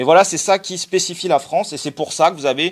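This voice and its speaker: A man at a fairly quick pace with ordinary pitch variation. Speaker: sociologist giving a talk. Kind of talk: lecture. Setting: conference with audience. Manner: fast; halting, many fillers.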